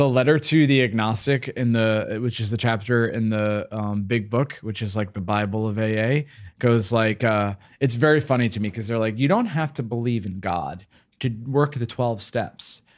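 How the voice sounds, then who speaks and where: A man's plain, everyday voice at medium pitch, moderate pace and ordinary pitch variation, in a very clean recording with a silent background. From US Northeast. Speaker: podcast host. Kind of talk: casual chat.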